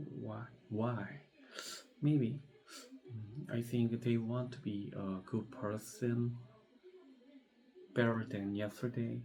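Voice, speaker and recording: A man's medium-pitched voice with a non-native accent, very slow pace, long, frequent pauses and fairly even intonation, over noticeable background noise. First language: not English. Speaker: English learner. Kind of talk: practice presentation. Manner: halting; hesitant, many fillers.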